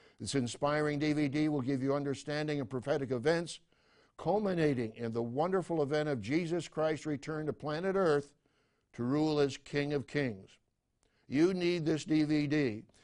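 Against a quiet background, a man talks at a moderate pace in a normal speaking voice, fairly high in pitch with ordinary pitch variation. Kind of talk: infomercial-style TV ministry call to action. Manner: urgent, earnest, persuasive, direct address to viewers; formal, authoritative, solemn preacher cadence.

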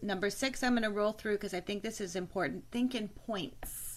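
A woman speaks at a medium pitch with fairly even intonation. She has an unremarkable speaking voice. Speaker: webinar host on mortgage video marketing. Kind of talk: casual panel chat. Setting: video call.

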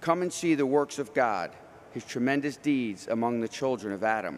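A man's medium-pitched, normal speaking voice with lively intonation. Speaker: lector and announcer. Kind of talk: scripture reading.

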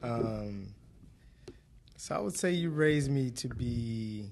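Delivery is very slow, with lively intonation. Audible room echo surrounds the voice. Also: man. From Detroit, Michigan. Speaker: restaurant manager and entrepreneur. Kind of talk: casual interview chat. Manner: halting, many fillers.

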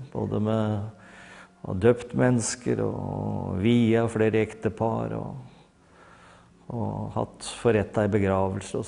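Fairly low in pitch, this man's voice has a dark, mellow tone. His intonation stays fairly even. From Hurum, eastern Norway. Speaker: pastor. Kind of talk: testimony. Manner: halting.

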